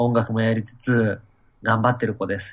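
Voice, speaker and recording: A man speaks at a medium pitch. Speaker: event organizer and musician. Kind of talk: interview. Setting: video call.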